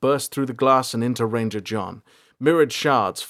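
Just plain reading aloud

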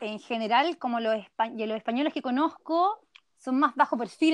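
Lively in intonation, a woman speaks at a fairly quick pace in a dry, close sound with no echo. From Chile. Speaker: emigrant interviewee. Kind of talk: casual interview. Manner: animated.

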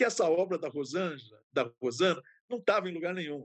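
In a dry, close sound with no echo, a man speaks at a moderate pace with a high pitch and lively intonation. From São Paulo interior, Ribeirão Preto. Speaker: retired art history professor and curator. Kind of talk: interview.

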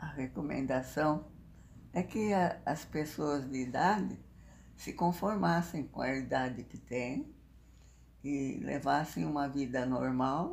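With a very deep, low pitch and vocal fry, a woman speaks at a very slow pace with lively intonation and long, frequent pauses. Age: 90s; 80s+. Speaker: interviewee, elderly woman. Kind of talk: interview. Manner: halting.

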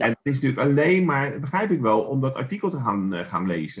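A man's medium-pitched voice with vocal fry at a fairly quick pace. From The Hague, Netherlands. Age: 50s. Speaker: podcast co-host. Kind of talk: casual chat.

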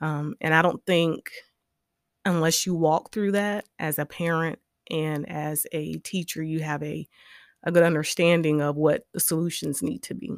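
A woman's very deep, low voice in a South Carolina accent, at a moderate pace with fairly even intonation, dry and close with no echo in a very clean recording with a silent background. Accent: US Southern (South Carolina). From South Carolina, Orangeburg. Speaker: educator and political candidate. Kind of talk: interview. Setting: studio.

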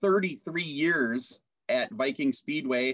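A man with a Minnesota accent and lively intonation, in a dry, close sound with no echo. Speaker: podcast host and announcer. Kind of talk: casual interview chat.

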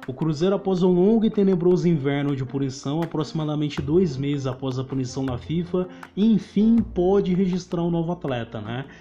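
Against noticeable background noise, a man with a fairly high pitch speaks with hardly any pauses. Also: lively intonation, moderate pace. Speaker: football podcast host. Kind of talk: casual chat.

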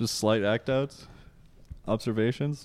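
Mumbling from a man at a medium pitch and a fairly slow pace, with fairly even intonation and a dry, close sound with no echo. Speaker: podcast host, comedian. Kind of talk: casual chat. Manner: mumbles.

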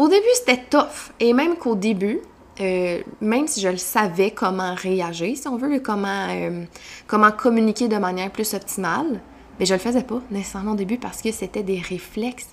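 A woman with a Quebec accent speaks at a moderate pace, her fairly high voice showing ordinary pitch variation. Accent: Québécois French. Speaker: personal development coach. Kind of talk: solo podcast monologue. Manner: animated.

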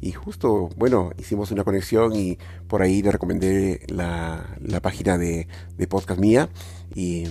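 A man talks with a very deep, low pitch and ordinary pitch variation over noticeable background noise. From Peru, Lima. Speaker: tech podcast host. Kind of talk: solo tech podcast monologue. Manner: hesitant, many filler sounds.

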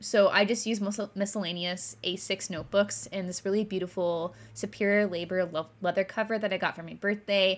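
In a very clean recording with a silent background, a woman with a General American accent and an unremarkable speaking voice talks at a fairly quick pace, with medium pitch and fairly even intonation. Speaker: podcast host, stationery streamer. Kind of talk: casual chat.

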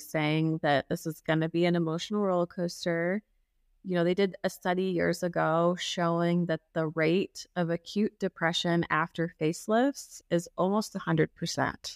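An unremarkable speaking voice with an American accent talks at a moderate pace with fairly even intonation, very even loudness and hardly any pauses. The recording is very clean and dry, with a silent background and a close sound with no echo. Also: woman. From US Midwest, Kansas City. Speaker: facial plastic surgeon. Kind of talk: casual interview.

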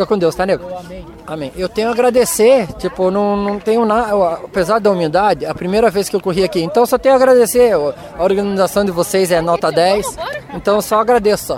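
Noticeable background noise sits behind a man speaking at a fairly quick pace. His voice is high in pitch, with ordinary pitch variation. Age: 40s. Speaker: runner and physiotherapist. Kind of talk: post-race interview.

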